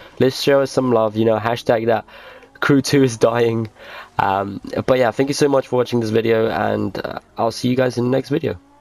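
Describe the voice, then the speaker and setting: A man speaks at medium pitch with fairly even intonation. Noticeable background noise runs behind him. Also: moderate pace. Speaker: gaming youtuber. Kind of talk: tutorial.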